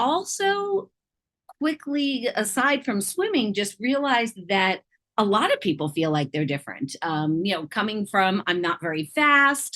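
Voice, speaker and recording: A loud woman's voice, fairly high in pitch and bright, sharp in tone, with very wide pitch swings at a fairly slow pace, on a very clean recording with a silent background. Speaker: triathlon and swim coach. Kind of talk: interview. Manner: animated.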